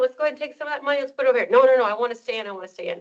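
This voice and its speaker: Her voice sits at a high pitch for a woman. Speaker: financial advisor. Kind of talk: workshop presentation. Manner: fast; animated.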